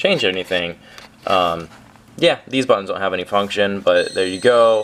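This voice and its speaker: Noticeable background noise beneath fairly quick delivery. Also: man. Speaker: prop maker demonstrating his product. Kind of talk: tutorial. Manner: fast; casual with frequent fillers.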